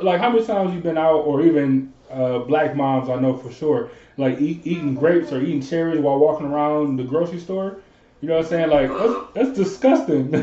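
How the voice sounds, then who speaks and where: With audible room echo, a man talks at a fairly quick pace in a fairly high pitch. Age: 20s. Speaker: podcast host. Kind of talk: casual chat.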